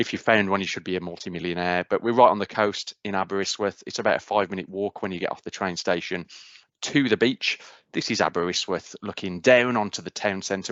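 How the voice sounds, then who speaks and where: A man at a very fast pace, fairly low in pitch, with fairly even intonation. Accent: Midlands. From English Midlands, Cannock. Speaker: university outreach speaker. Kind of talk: presentation.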